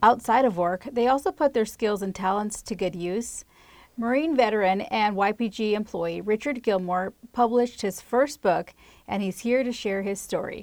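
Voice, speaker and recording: With a normal speaking voice, a woman talks at a moderate pace, her pitch fairly high and her pitch variation ordinary. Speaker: podcast host. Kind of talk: interview chat.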